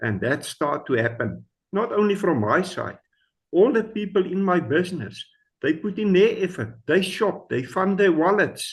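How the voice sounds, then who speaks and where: Here a man speaks with a high pitch. His intonation is lively and his pace moderate. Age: 60s. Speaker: business member. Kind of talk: testimony.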